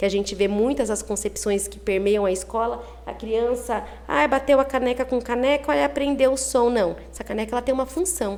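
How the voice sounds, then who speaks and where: A woman speaks at a high pitch with lively intonation and a moderate pace. Noticeable background noise runs underneath. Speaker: early childhood teacher. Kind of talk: interview.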